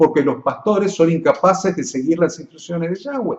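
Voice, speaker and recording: Lively in intonation, a man talks in a high pitch. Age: 60s. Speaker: pastor. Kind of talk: teaching for pastors. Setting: live broadcast. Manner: hesitant fillers.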